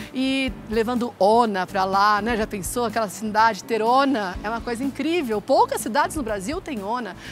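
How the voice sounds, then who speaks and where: A woman with a fairly high voice and ordinary pitch variation talks with hardly any pauses over music in the background. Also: moderate pace. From interior of São Paulo state (Ituverava). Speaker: physician and business owner. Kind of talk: interview.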